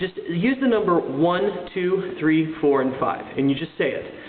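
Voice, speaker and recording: The speaker has a slight Southern US accent, with noticeable background noise in the recording. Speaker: singing teacher. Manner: instructional, clear.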